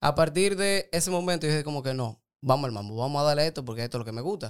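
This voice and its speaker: A man has a plain, everyday voice with a fairly high pitch and ordinary pitch variation. The recording is very clean, with a silent background. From Dominican Republic, Santo Domingo. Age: 20s. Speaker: doctor and nutrition coach. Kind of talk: casual interview.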